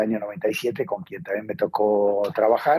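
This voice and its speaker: In a dark, mellow tone, a man talks at a fairly slow speed. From Mexico. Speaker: economist. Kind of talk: interview.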